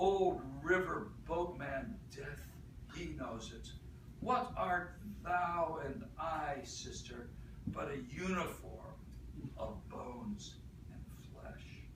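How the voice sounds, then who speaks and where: This man talks very slowly, with long pauses that come often, over noticeable background noise. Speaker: slam poet. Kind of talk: live poetry talk and performance.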